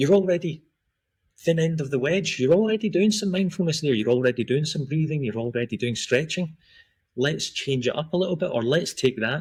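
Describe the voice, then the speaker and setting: With a Scottish accent, a man talks at a fairly quick pace in a fairly high pitch, his intonation lively on a very clean recording with a silent background. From Scotland, then Australia from teens. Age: 40s. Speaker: performance and recovery coach. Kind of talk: podcast interview.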